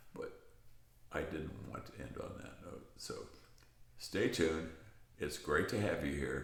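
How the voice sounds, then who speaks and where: Loudness swings widely as a man talks at a fairly slow pace, pausing long and often amid audible room echo. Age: 80s+. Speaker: aging channel host. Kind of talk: casual monologue.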